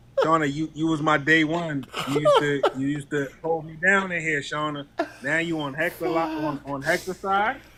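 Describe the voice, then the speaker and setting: Fairly even intonation from a man with a fairly high pitch, over noticeable background noise. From New York. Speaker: livestream co-host. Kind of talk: casual livestream chat.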